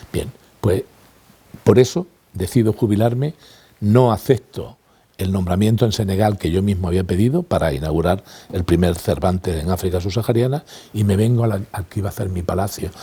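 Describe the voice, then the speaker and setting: With a dark, mellow tone, a man speaks at a fairly quick pace, somewhat breathy, using ordinary pitch variation and long, frequent pauses. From Spain, Granada (Andalusia). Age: 60s. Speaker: retired language institute director and teacher. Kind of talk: interview testimony.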